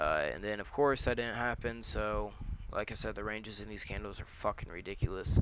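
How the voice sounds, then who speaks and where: With vocal fry and a fairly low pitch, a man talks at a fairly quick pace. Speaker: day trader doing market recaps. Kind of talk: screen-share market analysis. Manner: fast; casual with many fillers.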